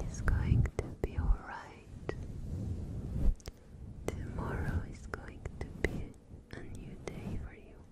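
A woman whispers in a soothing tone at a very slow pace, with long, frequent pauses. Noticeable background noise runs underneath. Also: big swings in loudness. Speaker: ASMR creator. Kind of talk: ASMR comforting affirmations. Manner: whispered, soft, soothing.

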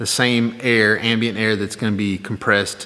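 The voice belongs to a man. He talks at a moderate pace. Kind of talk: casual vlog chat. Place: workshop. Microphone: phone near.

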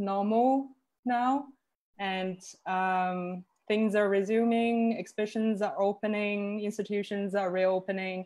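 Over a quiet background, a woman speaks at a very slow pace with fairly even intonation. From Northeast China. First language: Chinese. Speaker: curator; presenter. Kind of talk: online panel talk. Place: home room. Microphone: video call.

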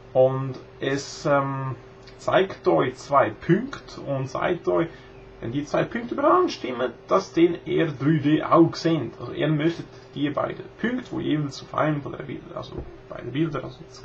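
The speech moves at a fairly slow pace with big swings in loudness and ordinary pitch variation, over light background noise. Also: man. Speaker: video blogger. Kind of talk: casual tutorial talk to camera. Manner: hesitant, many filler sounds. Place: home room. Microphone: webcam.

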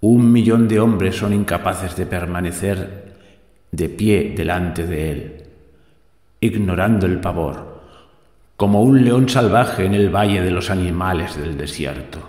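A man's very deep, low voice in a solemn tone, at a fairly slow pace with ordinary pitch variation. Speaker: podcast host. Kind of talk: history podcast narration, epic poem reading. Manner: solemn, declamatory; rhythmic, stately, ironic.

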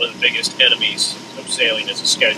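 A man talks at a moderate speed while noticeable noise fills the background. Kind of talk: casual vlog chat. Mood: relaxed, reflective. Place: boat. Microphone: camera far.

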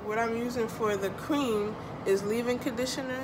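A woman speaks over noticeable background noise. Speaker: hair vlogger. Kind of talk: tutorial. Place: home room. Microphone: phone near.

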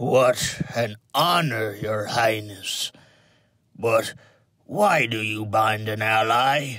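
Using a put-on character voice, a man speaks raspy and at a very slow pace in a medium pitch. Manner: oily, wheedling.

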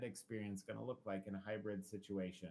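A man has a plain, everyday voice. He keeps a fairly quick pace, his intonation fairly even. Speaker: school district administrator. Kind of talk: presentation at school board meeting. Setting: video conference.

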